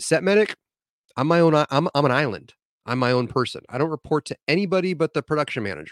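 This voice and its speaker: Speaking at a very fast pace, a man with a fairly high pitch and ordinary pitch variation comes through with a dry, close sound and no echo. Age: 40s. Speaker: medic. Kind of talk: casual chat.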